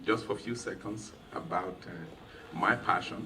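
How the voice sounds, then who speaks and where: A man with a Nigerian accent talks at a fairly slow pace against noticeable background noise. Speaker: event host, attorney. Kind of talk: welcome speech. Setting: private home reception with audience.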